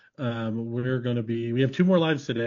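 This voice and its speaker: The pace is fairly quick. A man's voice holds a medium pitch. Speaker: co-host, Christmas light business trainer. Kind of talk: casual live interview. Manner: fast.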